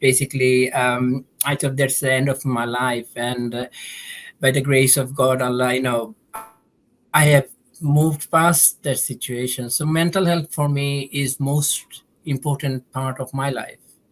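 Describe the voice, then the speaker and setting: A man's medium-pitched voice in a monotone, flat intonation, at a fairly slow pace. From Bangladesh. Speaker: podcast guest sharing lived experience of mental illness. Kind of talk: podcast discussion. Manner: halting.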